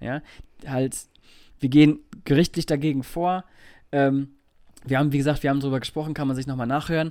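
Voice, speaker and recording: Recorded very cleanly against a silent background, a man speaks with fairly even intonation and a fairly high pitch. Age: 30s. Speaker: podcast co-host. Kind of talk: casual chat.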